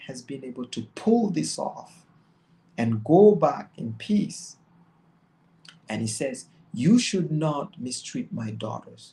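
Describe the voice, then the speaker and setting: A man speaks very slowly with a non-native accent, his tone dark, mellow and somewhat breathy. His pitch swings very widely. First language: not English. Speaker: religious commentator. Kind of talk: bible study commentary. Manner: halting.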